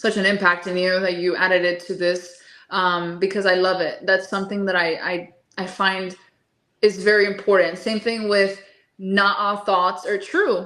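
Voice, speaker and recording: Monotone, flat speech in a Spanish accent at a moderate pace. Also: woman, medium pitch for a woman. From Miami, Florida. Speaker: holistic nutritionist. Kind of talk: interview.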